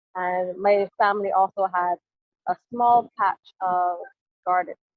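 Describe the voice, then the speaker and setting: A woman's voice in a Barbadian accent. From Barbados. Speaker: climate advocate. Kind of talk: interview.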